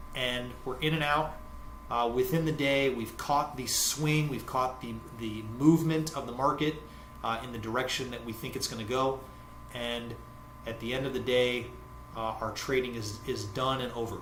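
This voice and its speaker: With an American accent, a man speaks at a moderate pace and medium pitch with fairly even intonation, amid audible room echo and noticeable background noise. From United States. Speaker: forex trading educator. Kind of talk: tutorial. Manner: halting, many fillers.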